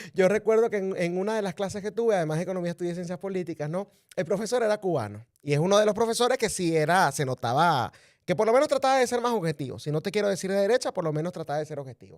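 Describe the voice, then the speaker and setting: On a very clean recording with a silent background and a dry, close sound free of echo, a man speaks very fast in a high pitch with lively intonation. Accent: Venezuelan. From Venezuela. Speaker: political commentator. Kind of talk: interview.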